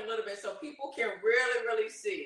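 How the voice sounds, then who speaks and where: A woman's raised, projected voice is high-pitched, bright and sharp, with lively intonation at a moderate pace. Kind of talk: casual chat. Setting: live cooking stream.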